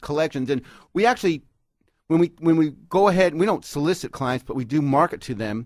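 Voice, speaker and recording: A man's fairly high voice at a moderate pace, ordinary pitch variation, an ordinary speaking voice, dry and close with no echo. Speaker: lawyer, radio guest and contributor. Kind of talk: radio interview answer.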